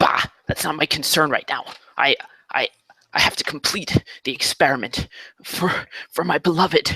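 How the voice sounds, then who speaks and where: A man whispering in a put-on character voice at a moderate pace, with long, frequent pauses, in a dry, close sound with no echo. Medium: actual play. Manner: curt, hostile.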